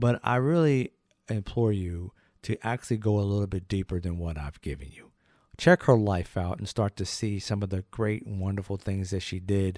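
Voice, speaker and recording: A man speaks at a moderate pace in a fairly low pitch, with ordinary pitch variation and big swings in loudness. The sound is dry with no echo, and the background is quiet. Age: 50s. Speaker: history channel host. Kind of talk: educational biography talk. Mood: earnest, appreciative. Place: studio. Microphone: studio mic.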